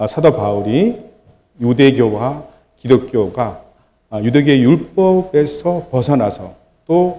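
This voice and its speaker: A man's fairly high voice with a dark, mellow tone, lively intonation, a very slow pace, and long, frequent pauses. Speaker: church elder giving a church history lecture. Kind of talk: sermon-style church history lecture. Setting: church service. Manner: halting, many fillers and restarts.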